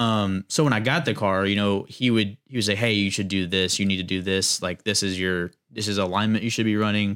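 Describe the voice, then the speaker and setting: With an American accent, a man uses an ordinary speaking voice, fairly low in pitch with fairly even intonation, on a very clean recording with a silent background. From US South, North Carolina. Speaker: amateur drifter. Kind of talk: casual chat.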